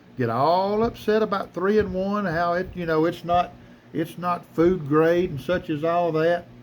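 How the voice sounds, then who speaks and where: Here a man with a Southern US accent talks at a fairly slow pace. His pitch is high and his tone relaxed. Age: 60s. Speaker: knife collector YouTuber. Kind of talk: casual tutorial. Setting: workshop. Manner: relaxed, halting with fillers.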